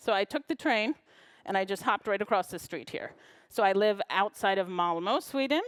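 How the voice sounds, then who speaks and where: A woman with an American accent talks at a fairly quick pace in a normal speaking voice, medium in pitch, with lively intonation. The sound is dry and close with no echo, on a very clean recording with a silent background. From US Midwest, Chicago. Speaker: librarian and knowledge management consultant. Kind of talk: conference talk.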